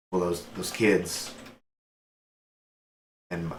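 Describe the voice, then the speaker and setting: A raspy, put-on character voice with audible echo. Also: man, very deep, low pitch for a man. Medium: actual play. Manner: stammering, hesitant.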